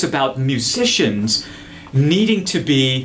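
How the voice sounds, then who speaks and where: A man's pitch swings very widely as he talks, with audible room echo and noticeable background noise. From India and Dubai. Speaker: musician. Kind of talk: casual interview chat with music demos. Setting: studio. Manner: animated.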